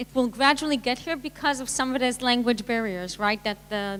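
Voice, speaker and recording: A woman speaks at a fairly high pitch with ordinary pitch variation. She has a strong non-native accent. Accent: thick foreign. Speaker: tech panelist. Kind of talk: panel discussion. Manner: halting.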